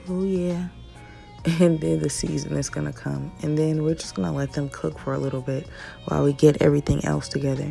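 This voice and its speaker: With music in the background, a woman speaks at a fairly quick pace in a relaxed tone. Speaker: mom lifestyle vlogger. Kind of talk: casual cooking tutorial to camera. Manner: relaxed, chatty.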